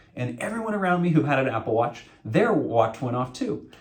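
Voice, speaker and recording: Speaking at a fairly quick pace with an American accent, a man with a fairly high pitch is heard amid audible room echo. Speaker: associate pastor. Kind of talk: sermon. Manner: loud.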